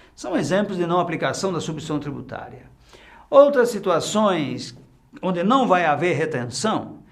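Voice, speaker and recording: Audible room echo around a high-pitched man at a moderate pace, with very wide pitch swings. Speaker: tax instructor. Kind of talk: lecture.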